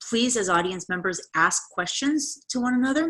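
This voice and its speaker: A woman's bright, sharp voice carries lively intonation on a very clean recording with a silent background. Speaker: college professor. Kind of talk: lecture. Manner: fast.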